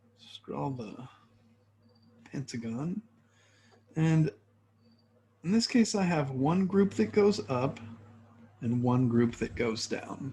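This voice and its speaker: The voice moves at a very slow pace with long, frequent pauses, very wide pitch swings, big swings in loudness, a somewhat breathy quality and a dark, mellow tone. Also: man, medium pitch for a man. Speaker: chemistry professor. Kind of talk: lecture.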